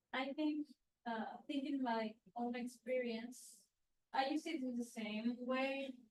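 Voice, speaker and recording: A woman with a Spanish accent talks at a very slow pace and a high pitch, her intonation fairly even, with long, frequent pauses. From Latin America. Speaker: graduate student teaching assistant. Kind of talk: workshop discussion.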